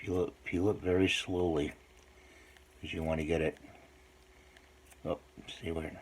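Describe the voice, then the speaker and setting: A soft-spoken man with a very deep, low voice, a monotone, flat intonation, a moderate pace and long, frequent pauses. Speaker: hobby modeler making DIY tutorial videos. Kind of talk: tutorial.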